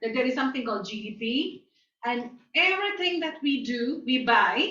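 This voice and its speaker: A woman talks at a moderate pace in a high voice that makes very wide pitch swings. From India, New Delhi. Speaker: guest lecturer. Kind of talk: lecture.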